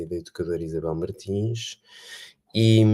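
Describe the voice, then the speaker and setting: In a European Portuguese accent, a man speaks with a very deep, low pitch, a dark, mellow tone and fairly even intonation. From Portugal. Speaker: education researcher. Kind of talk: online panel talk. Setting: video call livestream. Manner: hesitant, many fillers.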